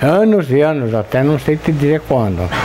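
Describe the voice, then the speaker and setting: A man's fairly high voice rises and falls in lively intonation over noticeable background noise. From southern Brazil, Rio Grande do Sul (Italian-descended rural area). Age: 70s. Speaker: interviewee, blacksmith's son. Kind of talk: interview, oral history. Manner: halting.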